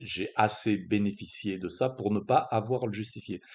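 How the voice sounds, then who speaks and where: This man's voice sits at a fairly low pitch. His intonation is fairly even. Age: 60s. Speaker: strength coach. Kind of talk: monologue explainer video. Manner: halting, many hesitations.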